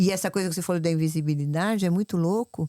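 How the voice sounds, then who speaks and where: Heard in a very clean recording with a silent background, a woman's dark, mellow tone has a dry, close sound with no echo. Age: 70s. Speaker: fitness influencer. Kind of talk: casual chat. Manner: animated.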